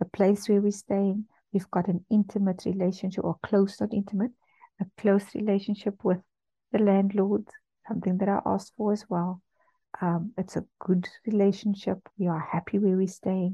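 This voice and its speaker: A woman of medium pitch speaks at a moderate pace in a monotone, flat intonation, somewhat breathy, with a dark, mellow tone. The sound is dry and close, with no echo. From South Africa, Cape Town. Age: 40s. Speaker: radio host. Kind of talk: personal testimony. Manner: hesitant, with frequent fillers.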